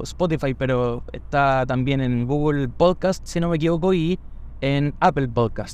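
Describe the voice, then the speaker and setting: Speaking with a Chilean accent, a man talks at a fairly slow pace and a fairly high pitch, with ordinary pitch variation. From Chile, Santiago (Conchalí). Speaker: podcaster and barbershop owner. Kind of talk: casual monologue. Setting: in a car.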